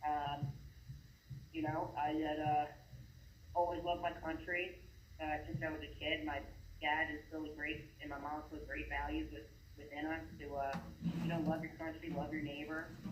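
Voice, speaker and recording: Pausing long and often, a man speaks in a fairly high pitch with monotone, flat intonation, and the room echo is audible. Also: moderate pace. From New York, Hudson Valley. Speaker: caller. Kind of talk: casual chat. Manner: halting.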